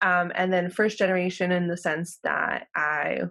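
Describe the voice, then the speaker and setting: In a very clean recording with a silent background, a woman with a Spanish accent speaks at a fairly low pitch. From Los Angeles County, California (Mexican American). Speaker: professor. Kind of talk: interview.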